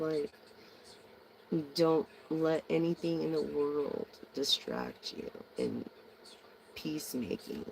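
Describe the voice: The delivery is slow, broken by long, frequent pauses. Very wide pitch swings, a slightly mellow tone and vocal fry come through.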